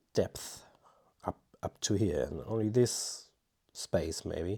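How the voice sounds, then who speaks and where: A man mumbles very slowly in a non-native accent, his tone dark and mellow. The recording is very clean, with a silent background. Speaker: amateur watercolour painter. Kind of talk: painting tutorial with running commentary. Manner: mumbling; halting.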